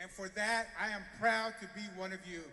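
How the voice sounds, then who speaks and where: Raised and projected, a man's high-pitched voice moves at a moderate pace with fairly even intonation. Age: 50s. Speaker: business association leader. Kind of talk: rally speech.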